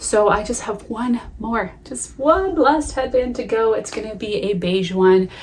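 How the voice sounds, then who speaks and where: A woman talks fairly slowly, her intonation lively, while noticeable background noise carries on. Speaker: knitting podcaster. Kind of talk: casual chat.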